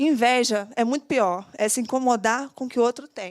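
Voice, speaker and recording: This is a woman speaking. Her pitch is high. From Minas Gerais, Brazil (Cataguases). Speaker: entrepreneur, aesthetics clinic owner, speaker. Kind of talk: motivational talk. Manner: fast.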